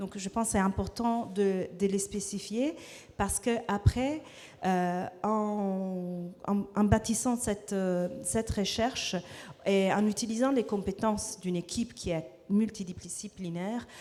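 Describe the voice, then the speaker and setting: A woman with a non-native accent speaks at a medium pitch and a very slow pace. Her tone is dark and mellow, with fairly even intonation. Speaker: researcher at a think tank. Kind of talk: panel presentation. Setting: stage with audience. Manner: halting, many hesitations.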